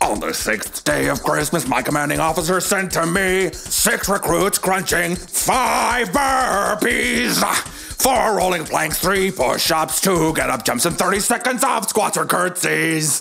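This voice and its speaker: Clear background noise behind a put-on character voice at a fairly slow pace. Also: man, high pitch for a man. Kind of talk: audio drama fitness workout.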